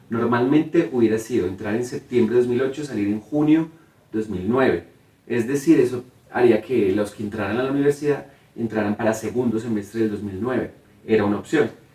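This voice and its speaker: Amid noticeable background noise, a man speaks at a fairly quick pace with a medium pitch and ordinary pitch variation. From Colombia, Cartago, Valle del Cauca (coffee region). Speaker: theatre director and playwright. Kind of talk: interview.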